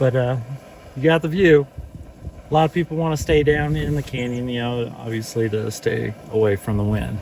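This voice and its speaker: A man speaks at a moderate pace with ordinary pitch variation. The sound is dry with no echo, over light background noise. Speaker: travel vlogger. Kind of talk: casual vlog chat. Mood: relaxed, easygoing. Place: open country.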